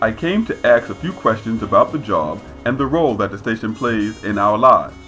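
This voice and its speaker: A man speaks at a medium pitch with lively intonation and a fairly quick pace. Music plays in the background. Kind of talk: documentary-style narration.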